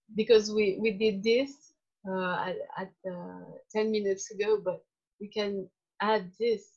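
A woman at a medium pitch speaks in a flat monotone, her loudness swinging widely. She talks at a fairly slow pace with a non-native accent, leaving long, frequent pauses. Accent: charming foreign. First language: not English. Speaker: workshop participant. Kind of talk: group discussion. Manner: halting.

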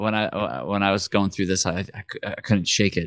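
A man speaks with a very deep, low pitch and ordinary pitch variation, at a moderate pace. The sound is dry and close with no echo, against a quiet background. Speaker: podcast co-host. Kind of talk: casual chat.

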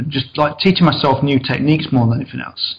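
Here a man talks with an East Midlands accent. His pace is fairly quick. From East Midlands of England (Mansfield, Nottinghamshire). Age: 40s. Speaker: model railway layout builder. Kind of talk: interview. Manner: fast.

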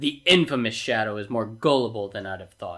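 A soft-spoken man puts on a character voice, talking at a fairly quick pace with a medium pitch. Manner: drowsy, menacing murmur.

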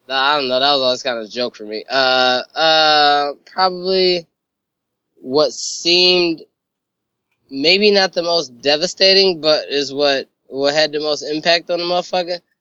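Ordinary pitch variation and a fairly slow pace in a normal speaking voice. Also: man, fairly high pitch for a man. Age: 20s. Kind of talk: casual chat.

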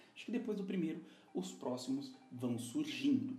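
A man's high voice at a fairly quick pace with very wide pitch swings, amid noticeable background noise and audible room echo. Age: 20s. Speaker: podcast host. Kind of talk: casual monologue.

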